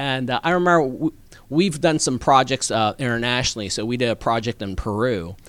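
A man speaks with an ordinary speaking voice at medium pitch. His intonation is lively and his pace fairly quick. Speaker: political candidate. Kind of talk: interview. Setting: studio.

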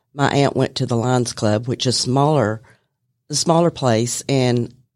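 In a Southern US accent, a woman speaks at a fairly slow pace with a very deep, low pitch on a very clean recording with a silent background. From Bartow County, Georgia. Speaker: office manager. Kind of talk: casual interview. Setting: studio.

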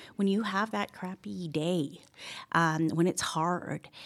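In a very clean recording with a silent background, a woman talks very slowly at a fairly low pitch with ordinary variation. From Canada, Toronto. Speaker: estate planning attorney. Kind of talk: interview. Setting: studio.

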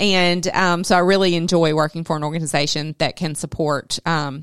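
A woman with a Southern US accent speaks at a fairly low pitch with fairly even intonation, on a very clean recording with a silent background. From South Georgia. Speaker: business development and board volunteer. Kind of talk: casual radio interview. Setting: studio.

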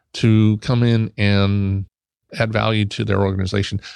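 A man at a fairly slow pace and fairly low pitch, in a dry, close sound with no echo over a quiet background. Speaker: IT consulting company president. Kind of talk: radio interview. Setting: studio.

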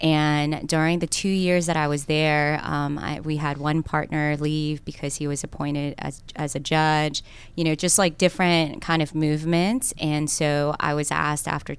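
In a Korean accent, a woman with a very deep, low pitch speaks at a moderate pace with monotone, flat intonation, recorded very cleanly against silence. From South Korea, then Cobb County, Georgia. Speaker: lawyer and political candidate. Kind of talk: radio interview. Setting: studio.

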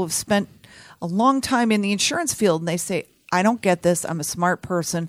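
A normal speaking voice with an American accent, moving at a moderate pace with lively intonation. The recording is very clean with a silent background, and the sound is dry and close with no echo. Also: woman. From Texas, Houston. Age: 50s. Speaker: health insurance advisor. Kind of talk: radio interview. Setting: studio.

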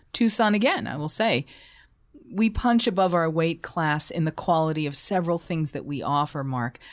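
A woman with an American accent has an unremarkable speaking voice, fairly low in pitch, with lively intonation. She speaks at a moderate pace on a very clean recording with a silent background. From Boston. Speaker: food radio broadcaster and hospitality consultant. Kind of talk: casual interview.

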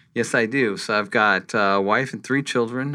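In a normal speaking voice, a man with an American accent talks at a fairly slow pace with ordinary pitch variation. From New Mexico, US Southwest. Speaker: chief accounting officer. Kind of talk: interview.

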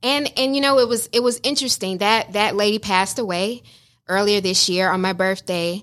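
Her medium-pitched voice is a plain, everyday voice, moving at a fairly quick pace with ordinary pitch variation and very even loudness. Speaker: visual artist, business owner.

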